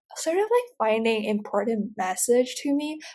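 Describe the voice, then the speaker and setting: At a fairly slow pace, a woman with a Mandarin accent speaks at a fairly high pitch. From China. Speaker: podcast guest with dyslexia. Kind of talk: interview. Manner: hesitant, many fillers.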